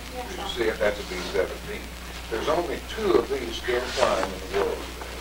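Loud background noise behind a man talking at a moderate pace. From Tennessee. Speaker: World War II veteran. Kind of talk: lecture to schoolchildren. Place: classroom. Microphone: camera far.

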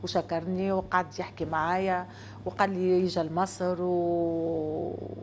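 Over light background noise, a woman with a Tunisian accent talks at a fairly low pitch. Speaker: guest. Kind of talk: casual interview. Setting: studio with audience. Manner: hesitant, with fillers. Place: studio.

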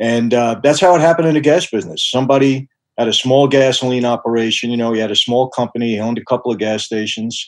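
A man's voice with ordinary pitch variation, against a quiet background. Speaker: podcast guest. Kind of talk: interview answer. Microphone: video call.

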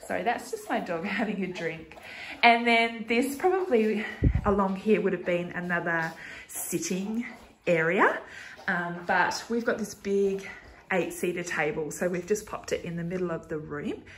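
The speech moves at a moderate pace with ordinary pitch variation. Light background noise is present. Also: woman. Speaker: home vlogger. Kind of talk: casual vlog chat. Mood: cheerful, laughing. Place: home room. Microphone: phone near.

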